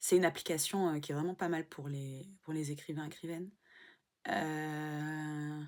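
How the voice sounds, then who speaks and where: A woman speaks with a very deep, low pitch at a fairly slow pace. Her intonation is monotone and flat on a very clean recording with a silent background. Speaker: vlogger and aspiring writer. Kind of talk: casual vlog. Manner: halting.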